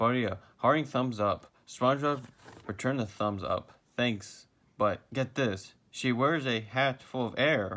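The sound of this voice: With ordinary pitch variation, an unforced reading voice carries the text.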